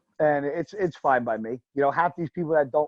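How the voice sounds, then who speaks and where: A man with a New Jersey accent speaks with fairly even intonation. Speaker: professional bodybuilder. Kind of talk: casual interview chat. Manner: loud.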